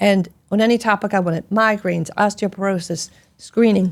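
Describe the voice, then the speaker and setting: Heard on a very clean recording with a silent background, a woman speaks at a medium pitch for a woman. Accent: Philadelphia. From US Northeast, Philadelphia. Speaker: gastroenterologist. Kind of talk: interview conversation. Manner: animated.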